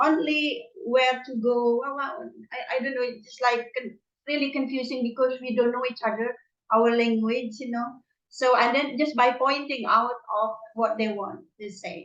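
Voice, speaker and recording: At a moderate pace, a woman with a high voice speaks with ordinary pitch variation and big swings in loudness. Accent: non-native. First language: not English. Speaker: language learner. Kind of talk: casual chat. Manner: halting.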